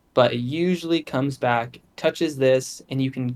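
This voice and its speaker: Recorded very cleanly against a silent background, a man talks at a medium pitch with ordinary pitch variation. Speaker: crypto trading streamer. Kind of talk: screen-share trading tutorial. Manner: fast.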